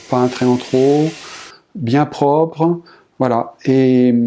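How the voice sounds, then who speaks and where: A man at a very slow pace with ordinary pitch variation, amid noticeable background noise. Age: 50s. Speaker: painter. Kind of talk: interview testimony. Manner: halting, many repetitions and hesitations.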